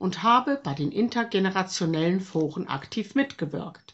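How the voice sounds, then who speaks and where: A woman of medium pitch speaks fairly slowly, somewhat breathy, with lively intonation. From Germany. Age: 60s. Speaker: retired teacher. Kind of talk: testimony. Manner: formal.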